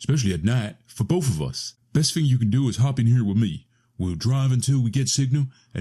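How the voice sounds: The pitch varies in an ordinary way in this natural reading voice.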